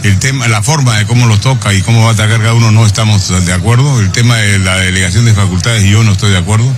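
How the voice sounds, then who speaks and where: Talking very fast with hardly any pauses, a man uses a fairly low pitch, fairly even intonation and very even loudness. Audible room echo and noticeable background noise are present. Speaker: congressman. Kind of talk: press interview.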